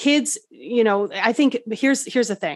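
An unremarkable speaking voice from a woman at a moderate pace, with ordinary pitch variation and a quiet background. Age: 40s. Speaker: wellness coach and EFT practitioner. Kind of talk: interview.

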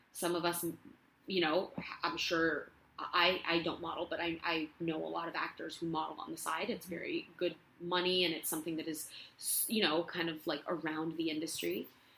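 Speaking at a moderate pace, a woman uses a fairly low pitch and monotone, flat intonation. Noticeable background noise is present. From Spain, Barcelona. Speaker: actress. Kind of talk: casual chat. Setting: at home.

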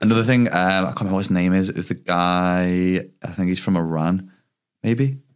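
A man with an English accent talks at a fairly quick pace. His pitch is very deep and low. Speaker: podcast co-host and YouTuber. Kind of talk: casual chat. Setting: studio. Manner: monotone.

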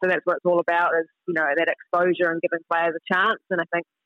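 Music plays in the background behind a woman. Her pitch is fairly low, and she has a New Zealand accent. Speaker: international footballer. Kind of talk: interview.

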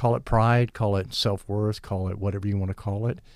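A man with an American accent talks at a fairly quick pace in a fairly low pitch, using a normal speaking voice. The recording is very clean, with a silent background. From US beach community. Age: 60s.

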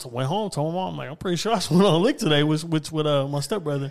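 Speaking with an American accent, a man uses lively intonation at a fairly high pitch, in a plain, everyday voice. The recording is very clean, with a silent background. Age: 20s. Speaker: podcaster. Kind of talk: casual chat.

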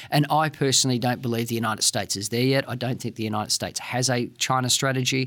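The speech races at a very fast pace with hardly any pauses, in an Australian accent. Intonation stays fairly even. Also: man, medium pitch for a man. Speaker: security policy expert. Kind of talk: interview.

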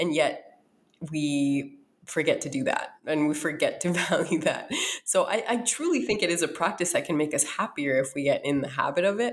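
In a very clean recording with a silent background, a woman with an American accent and an ordinary speaking voice talks at a moderate pace, her fairly low pitch carried by lively intonation. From US Midwest, North Dakota. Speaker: author and wellness educator. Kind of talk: interview.

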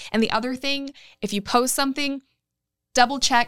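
Woman with a bright, sharp tone and monotone, flat intonation, in a very clean recording with a silent background. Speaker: business chamber leader and former news anchor. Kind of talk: interview.

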